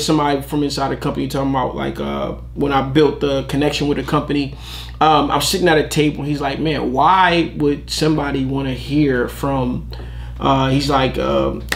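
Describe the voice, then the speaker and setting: Speech at a moderate pace, with noticeable background noise and audible room echo. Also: man. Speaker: t-shirt business youtuber. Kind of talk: reaction video commentary. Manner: loud; animated.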